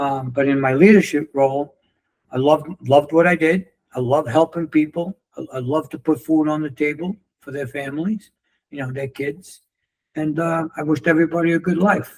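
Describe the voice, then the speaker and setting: A man with a New York accent, fairly high pitch, fairly quick pace, fairly even intonation and big swings in loudness. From New York City. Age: 60s. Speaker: former construction leader and coach. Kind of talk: interview storytelling. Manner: casual, halting with repetitions.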